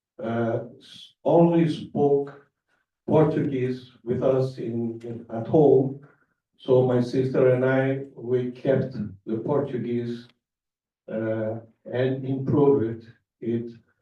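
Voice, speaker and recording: Speaking very slowly with long, frequent pauses, a man keeps a medium pitch and fairly even intonation. Audible room echo surrounds his voice. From grew up abroad, Brazilian diplomat family. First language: Spanish. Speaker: diplomat. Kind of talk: public speech. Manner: halting, many fillers.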